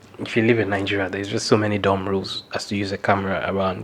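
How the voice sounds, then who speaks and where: A man talks at a very fast pace and a fairly low pitch. Background noise is noticeable. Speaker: videographer vlogger. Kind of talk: casual tutorial vlog.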